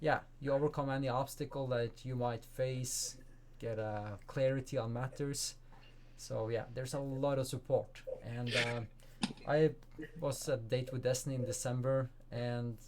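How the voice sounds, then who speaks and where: Monotone, flat delivery from a man with a Norwegian accent, medium in pitch, at a moderate pace. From Norway. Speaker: life coach and speaker. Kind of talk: interview.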